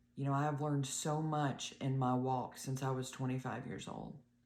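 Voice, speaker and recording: A woman's very deep, low voice in a monotone, flat delivery with audible room echo. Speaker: health vlogger, blood clot survivor. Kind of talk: casual video talk to viewers.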